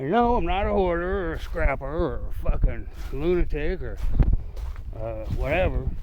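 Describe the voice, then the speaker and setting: A man speaks in an animated tone, with audible room echo around him. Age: 60s. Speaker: YouTuber, construction worker. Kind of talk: casual vlog. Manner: rambling, animated.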